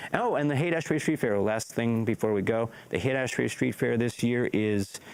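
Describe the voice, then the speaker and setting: Pitch variation stays ordinary throughout. The delivery comes at a fairly quick pace. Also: man, medium pitch for a man, very even loudness. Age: 60s. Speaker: interviewer, radio host and MC. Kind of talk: casual interview chat.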